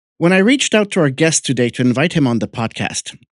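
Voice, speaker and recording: In a normal speaking voice, a man talks at a fairly high pitch against a quiet background. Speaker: podcast host. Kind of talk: podcast intro.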